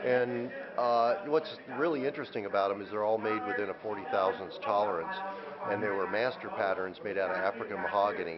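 Amid clear background noise, a man talks at a fairly quick pace with few pauses, his fairly low pitch held in fairly even intonation.

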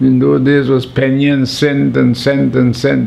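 A man with a Vincentian accent, fairly slow and monotone with flat intonation, over light background noise. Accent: Vincentian Caribbean English. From St. Vincent and the Grenadines. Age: 80s+. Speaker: documentary subject. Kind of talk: interview answer. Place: home room.

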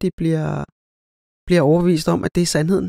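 A woman speaks with a dark, mellow tone and ordinary pitch variation, the sound dry and close with no echo. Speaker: podcast host, spiritual practitioner. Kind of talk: solo podcast monologue. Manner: halting, many filler sounds.

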